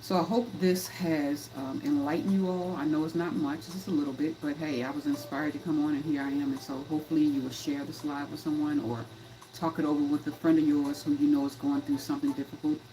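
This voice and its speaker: Against noticeable background noise, a woman talks at a very fast pace in a very deep, low pitch. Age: 50s. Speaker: life coach and livestream host. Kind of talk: livestream talk. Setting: live stream. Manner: animated, repetitive.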